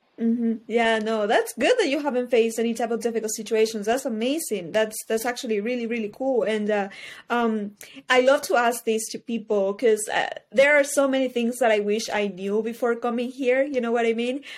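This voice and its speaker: Fairly quick speech from a woman with a fairly high pitch. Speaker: podcast host, university student. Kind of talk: interview. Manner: animated.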